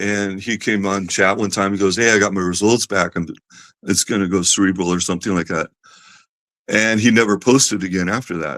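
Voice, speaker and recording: Fairly quick and fairly low in pitch, a man talks with fairly even intonation in a normal speaking voice. The recording is very clean, with a silent background. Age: 60s. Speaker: person living with a rare disease. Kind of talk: casual interview.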